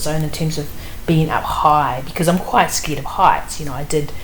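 With a New Zealand accent, a woman talks at a very fast pace and fairly even intonation, over noticeable background noise and audible room echo. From New Zealand (Wellington). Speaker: author. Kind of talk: interview.

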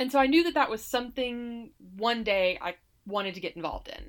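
Heard on a very clean recording with a silent background, a woman with an American accent uses an ordinary speaking voice at a fairly quick pace with lively intonation. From US South, Alabama (Montgomery). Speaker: political candidate and lawyer. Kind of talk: interview.

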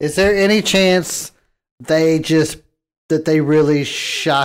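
At a fairly slow pace, a man speaks in an unremarkable speaking voice with ordinary pitch variation. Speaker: podcast co-host. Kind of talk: casual chat.

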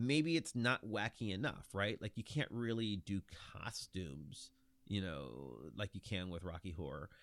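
A fairly low male voice with an American accent, vocal fry and very wide pitch swings, dry and close with no echo, in a very clean recording with a silent background. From Ohio, Lorain near Cleveland. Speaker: podcaster guest. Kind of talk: casual chat.

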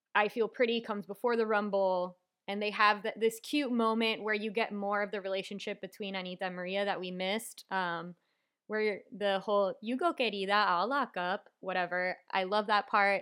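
An unremarkable speaking voice from a woman with an American accent, medium in pitch with fairly even intonation, at a moderate pace on a very clean recording with a silent background. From Miami, US. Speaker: guest. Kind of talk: casual chat about a movie.

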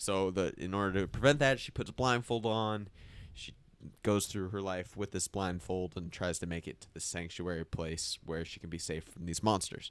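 With ordinary pitch variation, a man speaks at a moderate pace in a very deep, low voice. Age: 20s. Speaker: podcast co-host. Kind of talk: casual chat. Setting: studio.

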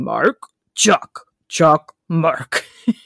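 A man puts on a gravelly, high-pitched character voice. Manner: creepy, comic.

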